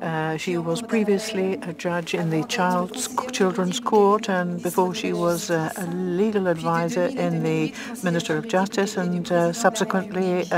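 Over noticeable background noise, a woman talks at a fairly slow pace with fairly even intonation. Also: dry sound with no echo. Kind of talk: simultaneous interpretation of formal speaker introduction.

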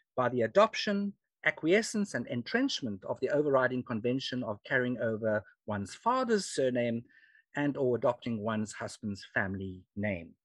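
Against a quiet background, a man with a South African accent speaks with lively intonation in a dry sound with no echo. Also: moderate pace. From South Africa (Free State). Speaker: historian and genealogy speaker. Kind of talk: lecture. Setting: video call. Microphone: video call.

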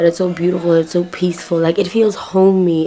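Over light background noise, a woman speaks with a fairly low pitch in a monotone, flat intonation. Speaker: vlogger. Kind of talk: casual vlog chat. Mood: relaxed, a bit hungover. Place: home room. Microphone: phone near.

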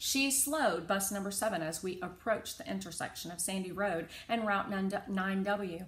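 The text is read aloud. The reading voice is unforced.

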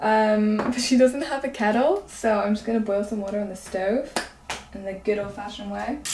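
A woman talks at a moderate pace with a fairly high pitch and fairly even intonation. Background noise is noticeable. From Northern Ireland. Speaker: lifestyle vlogger. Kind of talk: casual vlog narration. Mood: relaxed, cheerful. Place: home room. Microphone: phone near.

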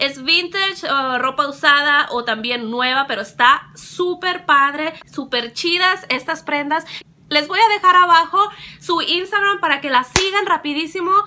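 A woman with a high voice speaks at a fairly slow pace, raised and projected. Her tone is animated, with lively intonation. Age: 20s. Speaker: beauty and lifestyle vlogger; lifestyle vlogger. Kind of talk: casual vlog monologue. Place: home room. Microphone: phone near.

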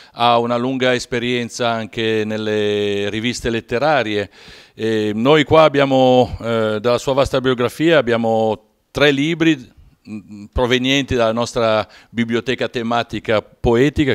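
A man delivers his words fairly slowly and with fairly even intonation, the background quiet. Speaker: poet and interviewer, show host. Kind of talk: interview. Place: home room. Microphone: handheld.

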